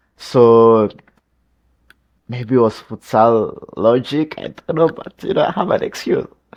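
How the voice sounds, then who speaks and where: The speaker has a non-native accent and a fairly slow pace. Long pauses come often. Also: man. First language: not English. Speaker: football YouTuber reacting to a video. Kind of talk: casual reaction commentary. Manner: halting, many restarts and fillers.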